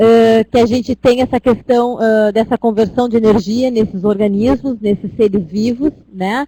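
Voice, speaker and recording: Dark and mellow in tone, a woman's fairly high voice moves at a fairly slow pace with a dry, close sound and no echo. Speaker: university lecturer. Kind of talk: online lecture. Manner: hesitant.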